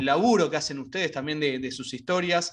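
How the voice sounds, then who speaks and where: In a Rioplatense accent, a man talks with a fairly high pitch and a bright, sharp tone. His pitch varies in an ordinary way, and the background is quiet. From Argentina. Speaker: radio host. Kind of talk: interview. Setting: video call. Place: home room. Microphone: video call.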